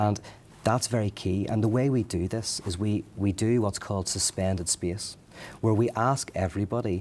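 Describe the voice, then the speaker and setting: Fairly even intonation in an Irish accent. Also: man, fairly low pitch for a man, moderate pace. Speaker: interview guest, leader of a faith gathering.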